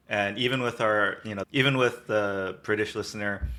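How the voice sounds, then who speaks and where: With an American accent, a man speaks in a bright, sharp tone at a fairly low pitch. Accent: mid-Atlantic. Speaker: podcast co-host. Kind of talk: casual chat.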